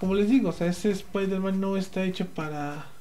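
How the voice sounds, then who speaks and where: Speaking with a Mexican accent, a man has a high pitch. He keeps a moderate pace, and the room echo is audible. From Mexico, Puebla. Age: 20s. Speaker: podcast host. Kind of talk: casual chat. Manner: animated, halting with many fillers.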